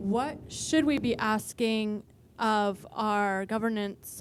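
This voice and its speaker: This woman's pitch is fairly high. Her intonation stays fairly even. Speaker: audience member. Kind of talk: audience question. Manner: loud.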